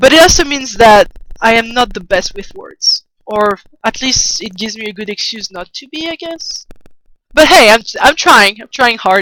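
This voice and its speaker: A woman with a French accent speaks at a moderate pace in a fairly high pitch, her tone bright and sharp. Her intonation is lively, her loudness swings widely, and the sound is dry and close with no echo. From France. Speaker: artist streamer. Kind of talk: casual livestream chat while drawing. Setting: livestream. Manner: halting, many restarts. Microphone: poor sound early in stream.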